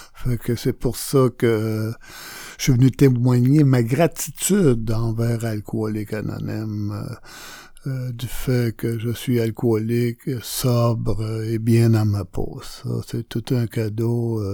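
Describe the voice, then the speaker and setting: A man talks at a very slow pace in a dark, mellow voice. His pitch is medium and his intonation fairly even. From Quebec, Montreal. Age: 60s. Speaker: recovering alcoholic. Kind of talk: testimony. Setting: radio studio. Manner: halting.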